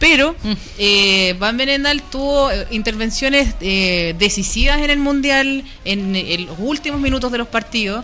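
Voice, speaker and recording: A woman's high, lively voice at a fairly slow pace, with audible room echo and noticeable background noise. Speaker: football commentator. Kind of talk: casual chat.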